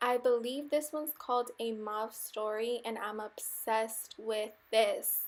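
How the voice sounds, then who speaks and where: A woman with an unremarkable speaking voice talks at a fairly slow pace, fairly high in pitch and fairly even in intonation. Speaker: beauty vlogger. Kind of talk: tutorial.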